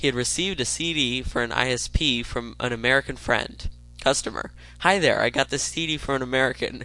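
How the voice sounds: Someone reads in a natural voice. The intonation rises and falls in a lively way.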